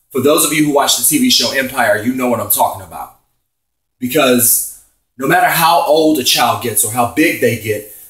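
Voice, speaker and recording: At a moderate pace, a man with a fairly high pitch speaks in an animated tone, his pitch varying in an ordinary way. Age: 30s. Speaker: vlogger. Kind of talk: opinion rant. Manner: loud.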